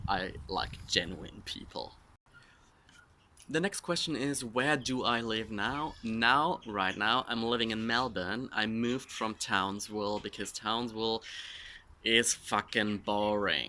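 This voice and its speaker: In a German accent, a man speaks at a fairly slow pace with a medium pitch, a bright, sharp tone, and ordinary pitch variation, over a silent background in a very clean recording. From Germany. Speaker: social media influencer. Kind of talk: casual Q&A vlog.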